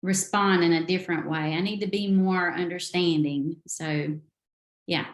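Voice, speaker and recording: In a Southern accent, a woman with a fairly low pitch speaks at a moderate pace and with fairly even intonation. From US South. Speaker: novelist. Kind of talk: interview.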